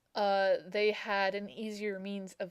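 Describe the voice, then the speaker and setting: A woman's voice at a medium pitch. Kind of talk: casual talk to camera. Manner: sounds nervous.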